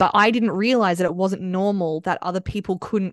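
A woman speaks with an Australian accent at medium pitch. Her intonation stays fairly even. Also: dry, close sound with no echo. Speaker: podcast host. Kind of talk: casual chat.

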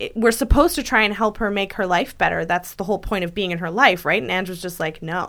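In a very clean recording with a silent background, a woman speaks at a very fast pace with hardly any pauses, using a medium pitch and ordinary pitch variation. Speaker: podcast host. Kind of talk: casual chat. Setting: studio.

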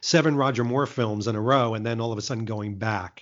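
A man talks at a moderate pace with a medium pitch. His is a plain, everyday voice. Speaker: marketing executive and Bond fan vlogger. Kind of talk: casual interview.

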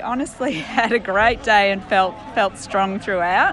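With noticeable background noise behind her, a woman speaks in an Australian accent with ordinary pitch variation. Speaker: ultramarathon runner. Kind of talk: interview. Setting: outdoors.

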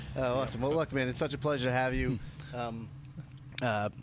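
With a New York accent, a man talks at a fairly quick pace and a medium pitch. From Queens, New York. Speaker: podcast host. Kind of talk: casual chat.

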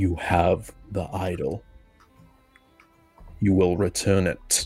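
Over faint music in the background, a man uses a put-on character voice with a very deep, low pitch, speaking at a very slow pace in a monotone, flat intonation. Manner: cold, echoing.

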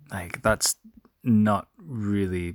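Quiet and dry, the close sound carrying no echo, a man speaks with fairly even intonation. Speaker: sports podcast host. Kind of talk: solo sports recap. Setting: recording from bed at home. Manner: quiet, subdued.

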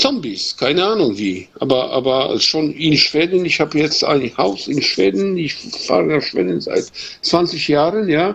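A Polish accent at a fairly slow pace, with very wide pitch swings and noticeable background noise. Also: man. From Poland. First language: Polish (speaking German). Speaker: carpenter, listener caller. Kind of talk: casual chat. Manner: halting.

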